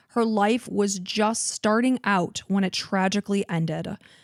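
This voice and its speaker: With a slight Chicago accent, the voice comes through a very clean recording with a silent background and a dry, close sound with no echo. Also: woman. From Chicago suburbs, US Midwest. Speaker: true crime podcast co-host. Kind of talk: storytelling narration; casual chat.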